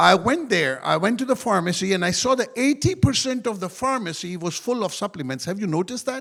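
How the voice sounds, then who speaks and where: A man talks at a fairly quick pace with a high pitch and very wide pitch swings. The recording is very clean, with a silent background. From Pakistan. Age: 60s. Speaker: network marketing speaker, former pilot. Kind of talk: motivational talk.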